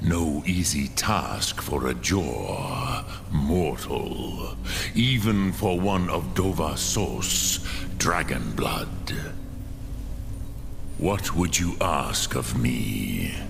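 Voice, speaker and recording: A man puts on a character voice with a very deep, low pitch. He speaks very slowly over loud background noise. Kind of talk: solemn fantasy elder. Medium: machinima. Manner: slow, measured, pausing between phrases.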